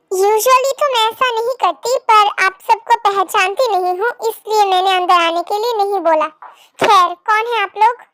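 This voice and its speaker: Using a put-on character voice, a woman talks at a moderate pace with an extremely high pitch and ordinary pitch variation, recorded dry and close with no echo. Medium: read story. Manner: sharp, confrontational.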